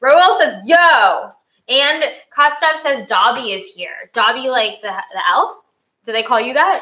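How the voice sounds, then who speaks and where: A woman with a high pitch speaks in a raised, projected voice at a fairly slow pace. Her tone is bubbly and enthusiastic, with very wide pitch swings. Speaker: cooking channel host. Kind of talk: live-streamed cooking show, casual chat. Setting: live stream. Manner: bubbly, enthusiastic.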